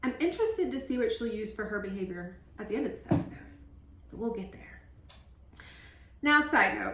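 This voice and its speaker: With an animated tone, a woman speaks amid audible room echo. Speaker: reality TV recap YouTuber. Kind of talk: casual recap monologue.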